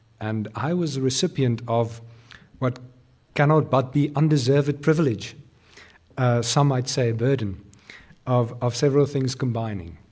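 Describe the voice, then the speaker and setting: The speaker talks at a moderate pace in a somewhat breathy voice, with long, frequent pauses. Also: man, medium pitch for a man, ordinary pitch variation, very clean recording, silent background. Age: 30s. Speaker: business group CEO. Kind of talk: speech. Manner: halting.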